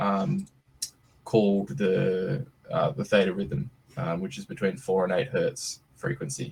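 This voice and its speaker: In an Australian accent, a man speaks at a fairly slow pace with a fairly low pitch and some vocal fry. His pitch swings very widely. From Australia (Western Australia). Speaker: startup CEO. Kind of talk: presentation on video call. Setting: video call. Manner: casual, hesitant with many fillers.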